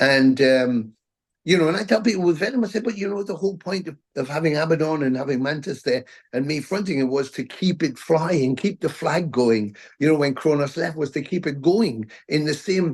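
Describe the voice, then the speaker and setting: Against a quiet background, a man with a Geordie accent talks at a fairly high pitch with lively intonation. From northern England, Newcastle. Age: 60s. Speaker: metal band frontman. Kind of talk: interview.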